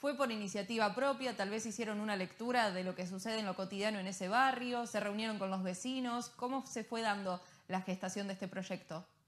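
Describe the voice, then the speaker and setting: A woman with a plain, everyday voice speaks at a fairly quick pace with a medium pitch, fairly even intonation and hardly any pauses. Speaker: news presenter. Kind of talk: news broadcast. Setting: studio. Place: studio.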